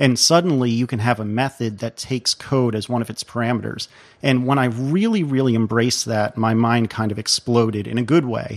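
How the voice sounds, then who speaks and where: A man with an American accent talks at a fairly quick pace with hardly any pauses, using a normal speaking voice at medium pitch and fairly even intonation, recorded dry and close with no echo against a quiet background. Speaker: podcaster and software developer. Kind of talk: casual interview chat.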